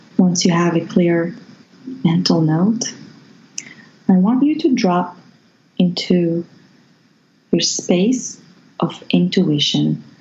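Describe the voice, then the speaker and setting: The speaker goes very slowly, with long, frequent pauses and vocal fry. Pitch variation is ordinary. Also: woman, fairly low pitch for a woman. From Morocco. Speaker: Reiki healer. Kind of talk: guided meditation.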